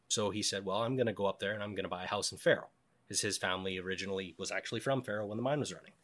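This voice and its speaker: A man speaks very fast with a western Canadian accent. His pitch is fairly low and his intonation fairly even. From western Canada (British Columbia, Cranbrook). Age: 20s. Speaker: wilderness survivor. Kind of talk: casual interview storytelling.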